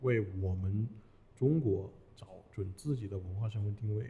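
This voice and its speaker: A man speaks in a fairly low pitch at a moderate pace. His voice is somewhat breathy. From Hunan. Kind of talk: casual chat. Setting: studio.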